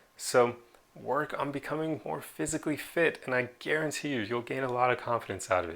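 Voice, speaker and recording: In a very clean recording with a silent background, a man with an unremarkable speaking voice and medium pitch talks at a fairly quick pace with lively intonation. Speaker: self-improvement video creator. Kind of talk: motivational talk to camera. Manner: casual, conversational.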